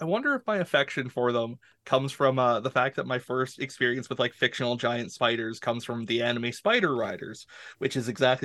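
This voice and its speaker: A man with a Canadian accent and a normal speaking voice talks at a moderate pace in a medium pitch. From Canada. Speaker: tabletop RPG content creator and interviewer. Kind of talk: casual chat.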